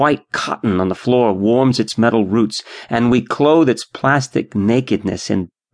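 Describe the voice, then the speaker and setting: A man has an unremarkable speaking voice with lively intonation. He speaks at a fairly slow pace. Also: quiet background. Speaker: audiobook narrator. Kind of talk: dramatic literary narration, reading aloud a nostalgic first-person memoir-style story. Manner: wistful, rich in imagery, slightly mock-grand.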